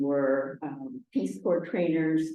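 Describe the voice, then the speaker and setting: A woman with a Spanish accent, with audible room echo. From Argentina, Buenos Aires; US Northeast from age seven. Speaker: retired French teacher, local resident. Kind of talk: oral history interview. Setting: town hall recording over video call equipment. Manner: hesitant, many fillers.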